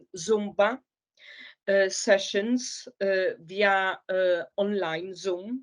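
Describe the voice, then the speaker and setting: A woman with a Polish accent speaks at a very slow pace, her medium-pitched voice following a fairly even intonation. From Poland. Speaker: migrant caseworker. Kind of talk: interview. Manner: halting, many fillers.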